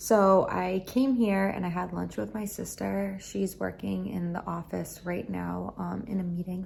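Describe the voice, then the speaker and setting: A woman whispers in a raspy, put-on character voice. She keeps a moderate pace. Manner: whispering.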